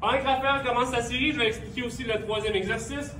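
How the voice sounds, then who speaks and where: There is noticeable background noise. A man speaks at an extremely high pitch, with ordinary pitch variation. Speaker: fitness coach. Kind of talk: exercise class instruction. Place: gym.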